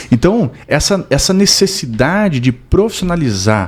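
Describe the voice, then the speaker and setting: A man's voice with very wide pitch swings. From southern Brazil (Rio Grande do Sul). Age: 30s. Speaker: real estate development expert. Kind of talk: podcast interview.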